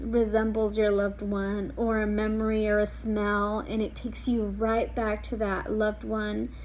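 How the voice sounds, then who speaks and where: A woman's voice with audible room echo. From US, Mexican American family. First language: Spanish. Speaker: social work student. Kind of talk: class introduction video. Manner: hesitant, many ums.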